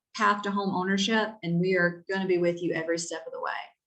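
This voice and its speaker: Speaking at a medium pitch, a woman talks in a North Carolina accent. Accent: Southern (Stanly County). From North Carolina, Albemarle (Stanly County). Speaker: real estate agent. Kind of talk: webinar presentation. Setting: video call webinar. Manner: animated.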